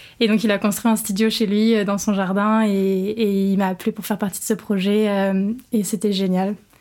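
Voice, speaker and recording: A woman talks at a moderate pace and medium pitch in a monotone, flat intonation, on a very clean recording with a silent background. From Normandy, France (Rouen). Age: 20s. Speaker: professional dancer. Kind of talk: casual interview chat.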